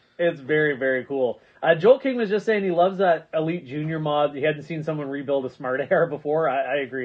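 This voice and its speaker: An unremarkable speaking voice from a man, fairly high in pitch, fairly quick, with ordinary pitch variation. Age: 40s. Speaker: online video host, toy blaster hobbyist. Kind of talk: casual livestream chat.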